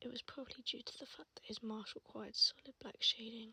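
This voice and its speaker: The voice is soft-spoken and calm in tone, moving at a fairly quick pace. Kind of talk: ASMR tattoo tour, casual talk to camera. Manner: soft-spoken, calm.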